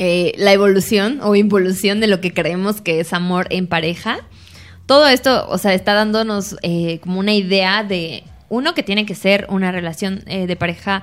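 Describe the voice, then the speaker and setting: This woman has a plain, everyday voice at a medium pitch. She talks at a moderate pace with ordinary pitch variation. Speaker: podcast co-host. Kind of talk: casual chat.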